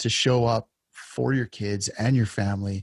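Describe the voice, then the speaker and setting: A man's somewhat breathy voice with ordinary pitch variation and a dry, close sound with no echo. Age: 40s. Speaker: podcast host and lineman. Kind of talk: interview conversation. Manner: halting.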